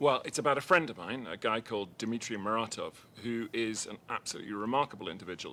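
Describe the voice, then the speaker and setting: A man's bright, sharp voice with an English accent, fairly low in pitch, with ordinary pitch variation. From Liverpool, England. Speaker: documentary filmmaker. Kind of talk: interview. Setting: live media room at festival.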